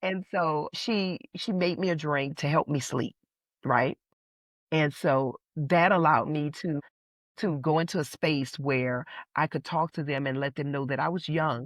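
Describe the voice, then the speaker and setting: The sound is dry and close with no echo as a woman speaks at a fairly slow pace in a very deep, low voice with ordinary pitch variation. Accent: New Orleans. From New Orleans. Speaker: playwright and priestess. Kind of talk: interview answer.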